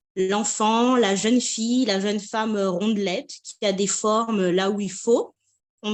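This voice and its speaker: A woman is speaking. Her pace is fairly slow. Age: 30s. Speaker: patient giving a testimonial. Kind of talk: testimony. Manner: hesitant, many fillers.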